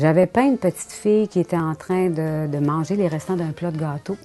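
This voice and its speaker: A woman with a fairly low pitch and ordinary pitch variation speaks over music in the background. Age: 60s. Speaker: painter. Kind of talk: interview monologue. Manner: conversational with hesitations.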